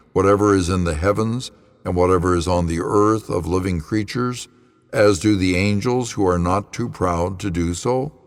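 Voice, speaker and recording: In a plain, everyday voice, a man speaks at a moderate pace with a fairly low pitch. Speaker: pastor. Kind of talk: scripture reading.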